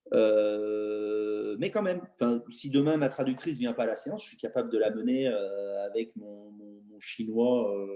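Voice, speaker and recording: Music plays behind a man's medium-pitched voice as he talks at a fairly slow pace with hardly any pauses. His pitch variation is ordinary, while his loudness swings widely. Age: 30s. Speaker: football coach. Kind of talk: interview. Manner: halting, many repetitions.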